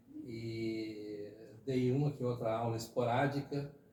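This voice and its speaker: Noticeable background noise and audible room echo are heard around the speaker. He is a man with a medium pitch and ordinary pitch variation. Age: 60s. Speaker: retired teacher and former city councillor. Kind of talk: podcast interview. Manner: conversational with fillers, hesitant.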